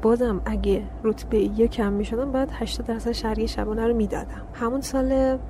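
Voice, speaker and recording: Noticeable background noise and audible room echo around speech of moderate pace. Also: woman. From Iran, Karaj (Afghan heritage). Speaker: graduate geology student. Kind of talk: interview.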